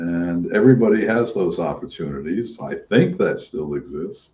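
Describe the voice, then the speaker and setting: Dark, mellow male voice at a fairly slow pace. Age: 80s+. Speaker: retired social worker. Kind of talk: casual chat.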